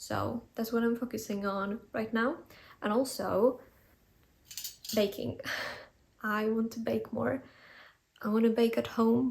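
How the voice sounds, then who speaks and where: At a fairly slow pace with long, frequent pauses, a woman with a non-native accent speaks in a somewhat breathy voice of fairly high pitch, with monotone, flat intonation. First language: not English. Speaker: lifestyle vlogger. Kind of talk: casual vlog talk. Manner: relaxed, conversational.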